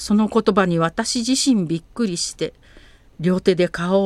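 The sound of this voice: An unforced reading voice of ordinary pitch variation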